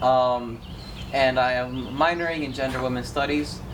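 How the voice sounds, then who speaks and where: A man's voice sits at a medium pitch. Background noise is noticeable, and the room echoes audibly. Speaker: university student. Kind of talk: casual chat.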